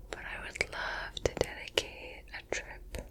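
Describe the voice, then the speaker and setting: Over noticeable background noise, the whispering unfolds at a very slow pace. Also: woman. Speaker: ASMR creator. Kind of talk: ASMR whisper ramble. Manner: whispered, soft-spoken; relaxed, casual.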